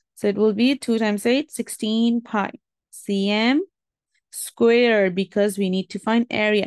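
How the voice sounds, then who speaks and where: The sound is dry and close with no echo as a woman speaks at a moderate pace, fairly high in pitch, with fairly even intonation. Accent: non-native. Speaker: maths teacher. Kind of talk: tutorial.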